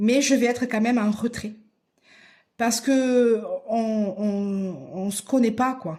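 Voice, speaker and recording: A woman's fairly high, somewhat breathy voice with a dark, mellow tone and a southern French accent, very slow, with long, frequent pauses and ordinary pitch variation. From southern France, Aveyron (Rodez). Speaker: crafts YouTuber. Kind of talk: casual vlog answering questions. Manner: hesitant, many fillers and repetitions.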